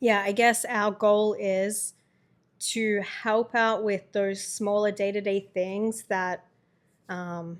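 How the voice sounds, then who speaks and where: The delivery is very slow and flat, monotone throughout, with a slight Australian accent. The recording is very clean, with a silent background. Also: woman, medium pitch for a woman. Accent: Australian, subtle. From Australia, Melbourne. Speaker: podcast co-host, caregiver. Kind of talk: casual chat.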